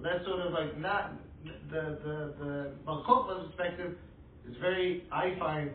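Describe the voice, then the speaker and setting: This is a man talking. Noticeable background noise can be heard. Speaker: audience member. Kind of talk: class Q&A discussion.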